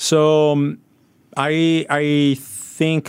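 The speaker is a man. He talks with an Italian accent. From Italy. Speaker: sports media executive. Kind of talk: radio interview. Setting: radio studio. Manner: halting, many fillers.

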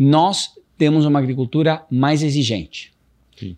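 Dark and mellow in tone, the voice varies its pitch in an ordinary way. Behind it, the background is quiet. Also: man. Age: 50s. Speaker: private equity CEO. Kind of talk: interview.

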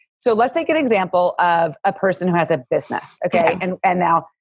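Energetic and warm in tone, a woman speaks fairly quickly at medium pitch with lively intonation. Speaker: podcast host. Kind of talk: casual interview chat. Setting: video call. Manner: fast talker; energetic, warm.

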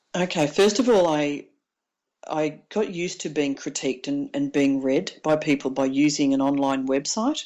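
Loudness swings widely in this Australian accent, with ordinary pitch variation. The pace is moderate. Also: woman, very deep, low pitch for a woman. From Victoria, Australia (Mansfield, country town). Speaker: author, former police officer and paramedic. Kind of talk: interview. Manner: hesitant, many fillers.

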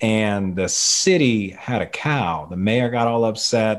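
The speaker is a man. He talks with a Louisiana accent. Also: very clean recording, silent background. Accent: Louisiana Southern US. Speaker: teacher. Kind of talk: podcast interview.

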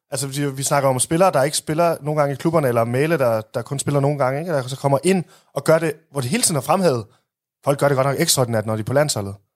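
A man's fairly high voice races along very fast, its pitch varying in an ordinary way. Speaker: football podcast co-host. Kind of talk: casual chat. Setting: studio.

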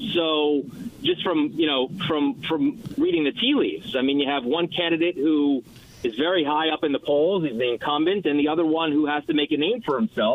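Speaking in a New York accent, a man keeps a moderate pace and very even loudness, his fairly high pitch varying in an ordinary way. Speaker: TV news anchor and debate moderator. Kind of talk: radio interview.

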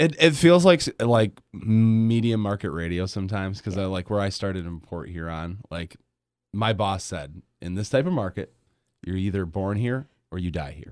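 A normal speaking voice with an American accent shows big swings in loudness and ordinary pitch variation on a very clean recording with a silent background. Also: man, fairly low pitch for a man, moderate pace. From Grand Rapids, Michigan. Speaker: radio host. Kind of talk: casual chat. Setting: studio.

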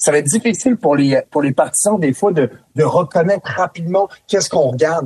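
In a dry, close sound with no echo, a somewhat breathy man talks at a fairly quick pace with lively intonation. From France. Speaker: former NHL player, hockey analyst. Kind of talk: casual chat. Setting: studio.

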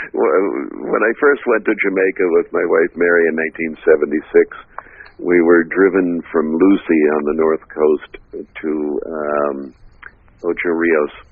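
A man speaks very slowly, and there is noticeable background noise. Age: 70s. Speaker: reggae historian and archivist. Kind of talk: casual interview.

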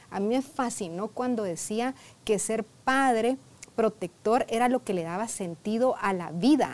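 A woman with a plain, everyday voice, fairly high pitch, lively intonation and a fairly slow pace. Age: 40s. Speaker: therapist. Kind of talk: interview.

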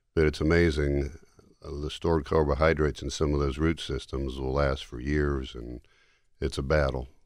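A man with an American accent speaks at a moderate pace and a very deep, low pitch. His intonation is monotone and flat. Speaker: tree care expert. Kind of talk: radio interview.

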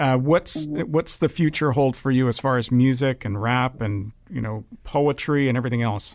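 A man with an unremarkable speaking voice talks at a medium pitch in a Canadian accent, with ordinary pitch variation. He keeps a moderate pace with hardly any pauses in a very clean recording with a silent background. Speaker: radio host. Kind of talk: casual chat.

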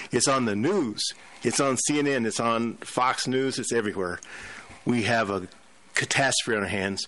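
Long, frequent pauses punctuate a man's bright, sharp voice, which has a medium pitch, ordinary pitch variation and a moderate pace. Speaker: pharmacist guest. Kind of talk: talk radio discussion.

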